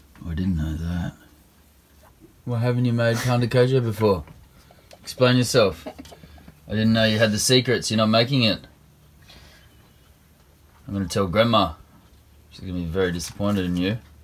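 Audible room echo surrounds a man speaking at a moderate pace, with long, frequent pauses. His pitch is fairly low, with ordinary variation.

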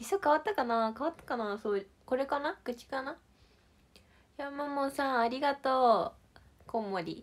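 Lively intonation carries a cheerful, animated tone throughout. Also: woman, high pitch for a woman, moderate pace. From Shizuoka, Japan. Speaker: idol livestreamer. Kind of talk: casual livestream chat with viewers. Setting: online livestream. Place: empty room. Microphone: phone near.

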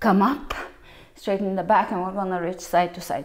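A woman speaks against a quiet background. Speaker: fitness instructor. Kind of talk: workout instruction. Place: empty room.

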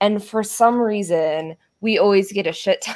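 At a moderate pace, a woman with an American accent speaks at a fairly high pitch over a quiet background. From Colorado. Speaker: streamer and craft-along host; streamer, craft-along host. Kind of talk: casual chat. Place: home room.

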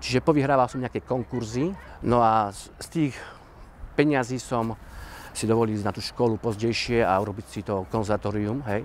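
In a plain, everyday voice, a man talks at a moderate pace and medium pitch with ordinary pitch variation and big swings in loudness, the dry sound with no echo carrying light background noise. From Slovakia, Orava region; Slovakia. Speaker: dancer and theatre organiser. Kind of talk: interview. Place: open country. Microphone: lapel.

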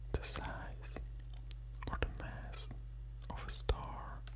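Background noise is noticeable throughout. Over it, a man talks. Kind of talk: educational narration. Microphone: studio mic.

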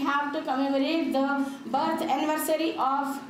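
Light background noise and audible room echo are present in the clip. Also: woman. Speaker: guest. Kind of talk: formal welcome address. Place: hall. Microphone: podium.

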